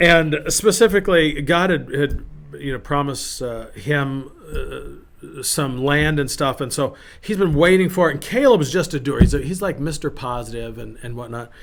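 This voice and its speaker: Noticeable background noise accompanies speech at a moderate pace. Loudness swings widely, while pitch variation stays ordinary. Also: man, fairly high pitch for a man. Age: 50s. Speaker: pastor. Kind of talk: casual devotional talk. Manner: casual, conversational with fillers.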